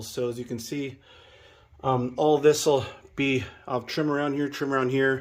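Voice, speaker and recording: A moderate pace and fairly even intonation. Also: man. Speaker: DIY channel host. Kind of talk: casual DIY vlog.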